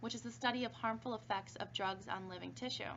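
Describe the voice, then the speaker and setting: A woman talks at a medium pitch with vocal fry. Her pitch swings very widely. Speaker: pharmacology instructor. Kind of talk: recorded online lecture. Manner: fast; casual with fillers.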